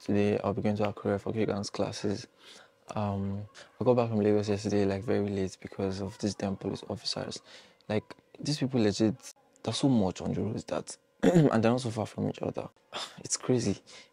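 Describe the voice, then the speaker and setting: This man has a normal speaking voice, pitched fairly low. The sound is dry, with no echo. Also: fairly even intonation, fairly quick pace. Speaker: vlogger. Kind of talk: casual vlog chat. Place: home room. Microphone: lapel.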